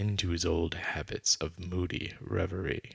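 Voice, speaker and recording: A man's very deep, low voice with vocal fry and a calm yet bright, sharp tone, fairly slow in pace, with a dry, close sound and no echo. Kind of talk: ASMR sleep reading of a classic story. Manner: calm, soft, slow.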